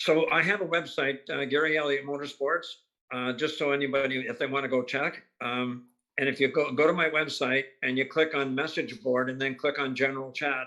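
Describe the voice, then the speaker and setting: Speaking with a Canadian accent, a man with a fairly high pitch and a bright, sharp tone moves at a fairly quick pace with fairly even intonation. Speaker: race car driver. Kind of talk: interview.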